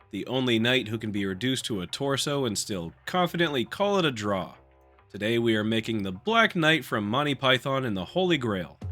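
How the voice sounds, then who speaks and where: A man's medium-pitched voice at a fairly quick pace, with lively intonation and music in the background. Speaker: polymer clay sculptor. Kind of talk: casual narration of a sculpting video. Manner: humorous, playful.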